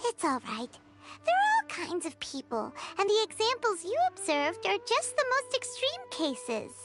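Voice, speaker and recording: Music plays behind a put-on character voice pitched extremely high, swinging very widely in pitch at a moderate pace. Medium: video game.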